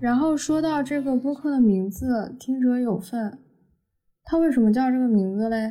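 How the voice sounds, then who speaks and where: This woman has a high pitch and a dark, mellow tone. She keeps a moderate pace with ordinary pitch variation. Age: 20s. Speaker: podcast host and media student. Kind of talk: solo podcast monologue.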